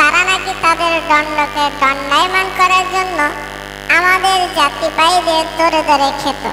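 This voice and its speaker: A cartoonish character voice moves at a fairly slow pace. Loud background noise runs behind it. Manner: long-winded, dramatic.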